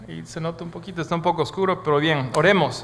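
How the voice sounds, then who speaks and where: A man speaks with a fairly high pitch, ordinary pitch variation, and audible room echo. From Bolivia. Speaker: guest preacher. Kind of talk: sermon. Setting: church.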